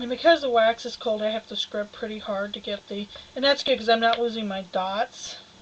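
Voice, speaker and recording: A woman talks at a fairly quick pace with a fairly high pitch and fairly even intonation. Noticeable background noise sits behind her. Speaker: fiber artist. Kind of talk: live-stream tutorial. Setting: studio. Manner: loud.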